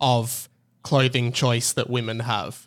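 In a very clean recording with a silent background, a man with an Australian accent talks at a fairly slow pace. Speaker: podcaster. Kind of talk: casual chat.

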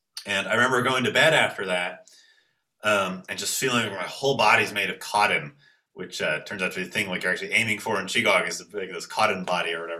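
Bright and sharp in tone, a man talks at a very fast pace with ordinary pitch variation. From Toronto, Canada. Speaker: qigong teacher. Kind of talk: casual interview.

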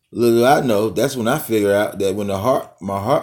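A man talks at a moderate pace and medium pitch on a very clean recording with a silent background. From Atlanta, Georgia (US South). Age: 20s. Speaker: personal vlogger. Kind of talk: casual monologue. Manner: halting.

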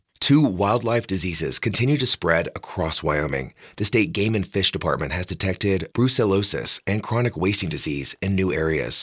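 Speaking at a moderate pace with hardly any pauses, a man uses lively intonation at a fairly low pitch, with vocal fry. The recording is very clean, the background silent. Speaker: radio newscaster. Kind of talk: brisk, polished radio news reading, crisp and evenly paced. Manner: formal; measured, neutral and steady.

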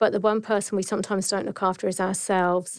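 On a very clean recording with a silent background, a woman at medium pitch speaks with a monotone, flat intonation. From Dorset, southern England. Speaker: nurse and health service director. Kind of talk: casual interview.

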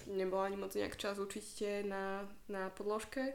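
A woman speaks at medium pitch in a monotone, flat delivery. Noticeable background noise and audible room echo surround her. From Slovakia. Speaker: yoga instructor. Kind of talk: casual chat.

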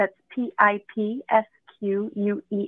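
Here is a woman with a plain, everyday voice and a medium pitch. Her intonation is fairly even. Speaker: piano teacher for children.

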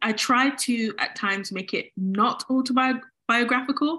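A woman speaks with a British accent. Her tone is bright and sharp. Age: 20s. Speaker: cartoonist and author. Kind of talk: casual interview.

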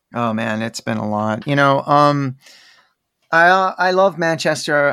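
Fairly high in pitch, a man talks with lively intonation and a bright, sharp tone. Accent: American. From Texas, Dallas. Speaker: rock guitarist. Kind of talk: casual interview chat.

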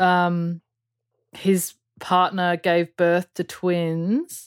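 A woman with an Australian accent speaks at medium pitch. The sound is dry and close, with no echo. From Perth, Western Australia (UK until age eight). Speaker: audio engineer and producer. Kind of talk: casual interview chat. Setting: remote call.

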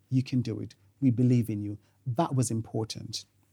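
His voice has a dark, mellow tone and is somewhat breathy. The man speaks at a medium pitch. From Jamaica. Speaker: family law barrister. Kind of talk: interview.

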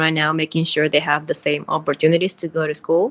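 With a Spanish accent, a woman speaks at a fairly low pitch against a quiet background. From Peru. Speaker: community organization founder. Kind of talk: interview.

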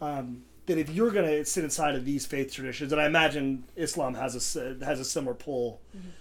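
A man with an ordinary speaking voice talks at a fairly high pitch with ordinary pitch variation. His pace is fairly quick, with hardly any pauses. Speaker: podcast co-host. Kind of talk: casual chat.

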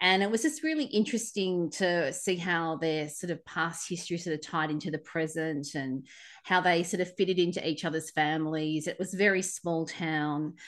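Fairly low female voice in an Australian accent, moderate pace and fairly even intonation. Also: quiet background. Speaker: podcast co-host. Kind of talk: casual chat.

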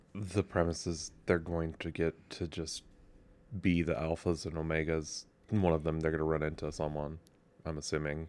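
On a very clean recording with a silent background, a man mumbles at a moderate pace in a very deep, low voice with monotone, flat intonation. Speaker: podcast co-host. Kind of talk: casual chat. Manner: mumbling.

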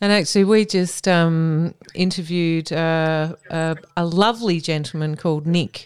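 With an Australian accent, a woman speaks fairly slowly with hardly any pauses, in a fairly low voice with fairly even intonation. The recording is very clean, with a silent background. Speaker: co-host. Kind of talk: casual chat. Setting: home.

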